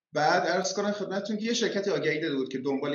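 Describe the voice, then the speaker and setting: Here a man speaks with lively intonation. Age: 40s. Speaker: tech entrepreneur. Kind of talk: casual interview.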